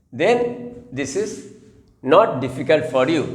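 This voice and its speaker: A man with a fairly high pitch and very wide pitch swings, at a very slow pace, amid audible room echo. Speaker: math teacher. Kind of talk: tutorial.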